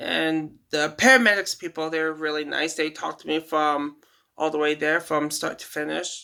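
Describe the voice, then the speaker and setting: Her tone is bright and sharp, yet the woman's pitch is very deep and low. She keeps a moderate pace and fairly even intonation on a very clean recording with a silent background. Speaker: kitchen worker. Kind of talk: casual storytelling to camera. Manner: halting, stuttering, trips over words.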